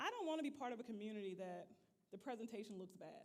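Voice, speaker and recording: Here a woman speaks loudly. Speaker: leadership trainer. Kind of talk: leadership training talk. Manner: animated.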